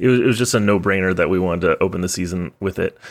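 Speaking at a very fast pace, a man with an American accent has a very deep, low pitch, recorded very cleanly over a silent background. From Texas. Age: 30s. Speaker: podcast host, trombonist. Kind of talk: read-out sponsor and show plugs; casual podcast chat.

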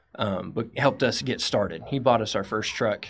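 This man speaks with a West Texas accent. His pitch sits fairly low. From West Texas (Midland). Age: 30s. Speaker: entrepreneur. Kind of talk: interview. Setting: studio.

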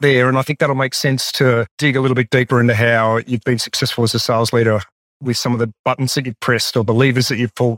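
A man's medium-pitched voice in an Australian accent at a fairly quick pace, dry and close with no echo, on a very clean recording with a silent background. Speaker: podcast host and sales trainer. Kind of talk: interview.

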